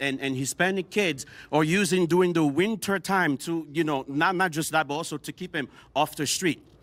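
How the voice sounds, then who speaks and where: The speaker talks at a moderate pace in a Haitian accent. The recording is very clean with a silent background and a dry, close sound with no echo. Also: man. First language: Haitian Creole. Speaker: panel guest. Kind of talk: heated debate. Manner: animated.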